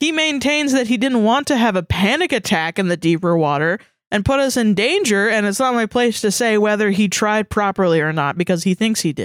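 A woman with a normal speaking voice, medium pitch and moderate pace, on a very clean recording with a silent background and a dry, close sound with no echo. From US South. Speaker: podcast co-host. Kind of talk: casual chat.

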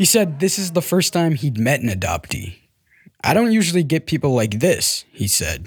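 At a moderate pace, a man with a fairly high, somewhat breathy voice swings his pitch very widely on a very clean recording with a silent background. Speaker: adoptee telling his story. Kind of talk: scripted narration.

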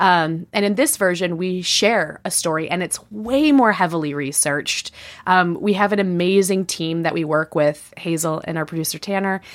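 A woman speaks at a moderate pace in an unremarkable speaking voice, her pitch fairly low with ordinary variation. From Chicago, US Midwest. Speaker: podcast host and comedian. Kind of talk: casual chat.

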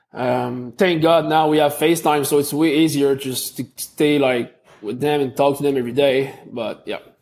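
A man with a Quebec accent, a fairly high pitch and fairly even intonation, at a moderate pace. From Quebec (Montreal), Canada. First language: French. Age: 20s. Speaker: athlete. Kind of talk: interview. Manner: halting.

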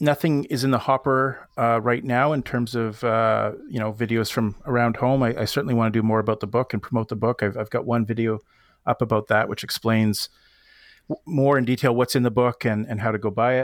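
A man talks at a fairly quick pace with medium pitch and fairly even intonation, in an ordinary speaking voice. The recording is very clean with a silent background, and the sound is dry and close with no echo. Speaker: podcast guest, YouTuber and backpacker. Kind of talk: casual chat.

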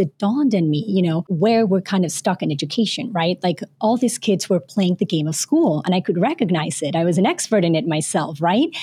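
A woman with a dark, mellow tone speaks at a fairly quick pace with lively intonation. Her voice is somewhat breathy, in a dry, close sound with no echo. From Panama, but moved around many countries. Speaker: author and former teacher. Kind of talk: interview.

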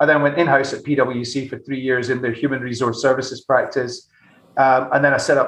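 Delivered at a fairly quick pace in a Glasgow accent, the speech is monotone and flat. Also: man. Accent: Scottish (Glasgow). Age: 40s. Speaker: tech company CEO. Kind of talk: interview conversation.

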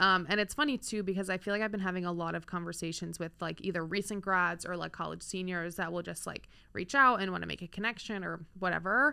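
Speech comes at a very fast pace with hardly any pauses, in an American accent with vocal fry. The tone is bright and sharp, on a very clean recording with a silent background. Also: woman, medium pitch for a woman, ordinary pitch variation. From eastern Pennsylvania, Lehigh Valley. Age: 20s. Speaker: sports media employee, floorball player. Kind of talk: casual interview. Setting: studio.

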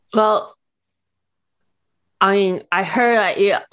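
A female-sounding, put-on character voice mumbles at a fairly high pitch for a woman.

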